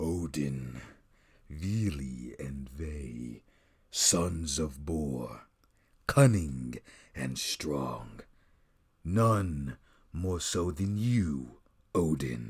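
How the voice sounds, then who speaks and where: Using a put-on character voice, a man speaks at a very deep, low pitch and a very slow pace, with long, frequent pauses. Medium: read story.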